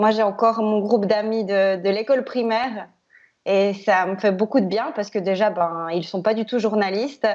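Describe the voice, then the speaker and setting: A woman talks at a moderate pace in a medium pitch with fairly even intonation. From Switzerland, Biel/Bienne (French-speaking). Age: 30s. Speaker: TV news presenter. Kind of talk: interview. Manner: hesitant, many fillers.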